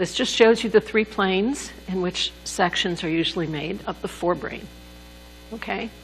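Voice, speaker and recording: With background music playing, the talking goes at a moderate pace. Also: woman. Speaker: neuroanatomy lecturer. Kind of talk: lecture. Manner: soft-spoken, doesn't project.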